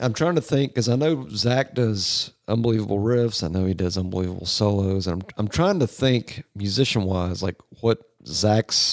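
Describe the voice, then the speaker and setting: A man's fairly low, normal speaking voice with lively intonation at a moderate pace, dry and close with no echo. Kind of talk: casual chat.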